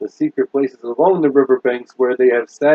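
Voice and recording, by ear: The background is quiet while a passage is read aloud in a natural voice.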